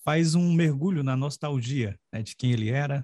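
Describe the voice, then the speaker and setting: A somewhat breathy, dark, mellow tone with ordinary pitch variation and a dry, close sound with no echo. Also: man. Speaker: podcast host and writing mentor. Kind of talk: interview.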